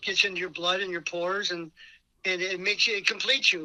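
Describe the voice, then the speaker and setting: A man's bright, sharp, raised and projected voice moves at a fairly quick pace, high in pitch with fairly even intonation. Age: 70s. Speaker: band drummer. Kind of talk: interview.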